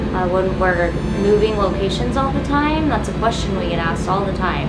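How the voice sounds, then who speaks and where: A woman is speaking. Loud background noise fills the recording. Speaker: vlogger living aboard a boat. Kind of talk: casual vlog chat. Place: boat. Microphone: camera far.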